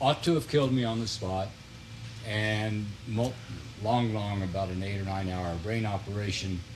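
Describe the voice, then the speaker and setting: Amid audible room echo, a man with a fairly low pitch and ordinary pitch variation speaks at a moderate pace with long, frequent pauses. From US Midwest (northern Missouri Ozarks). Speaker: retired politician and author. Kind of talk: TV interview.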